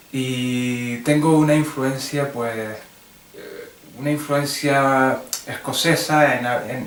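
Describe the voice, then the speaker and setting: A man's fairly high-pitched voice with fairly even intonation, audible room echo and noticeable background noise. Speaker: English teacher. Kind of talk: tutorial. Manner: halting.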